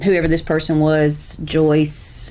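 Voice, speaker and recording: In a Southern US accent, a woman speaks with a very deep, low voice, with audible room echo and noticeable background noise. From South Carolina. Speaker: reaction video host. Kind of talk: reaction commentary.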